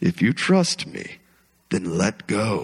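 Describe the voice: A man's booming, put-on character voice at medium pitch with very wide pitch swings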